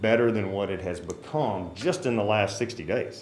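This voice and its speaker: Recorded with audible room echo, a man speaks at a moderate pace in a medium pitch with ordinary pitch variation. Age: 50s. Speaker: citizen addressing city council. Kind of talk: public comment at council meeting.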